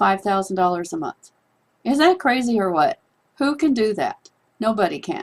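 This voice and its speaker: Here the speaker is female. Her voice lies at a medium pitch. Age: 60s. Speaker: online business promoter. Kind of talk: persuasive monologue to camera.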